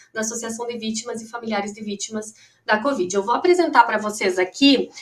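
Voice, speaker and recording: A woman with a Rio Grande do Sul accent, fairly high-pitched, at a moderate pace. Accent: gaúcho (Rio Grande do Sul). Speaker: lawyer and professor, victims' association representative. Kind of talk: panel talk.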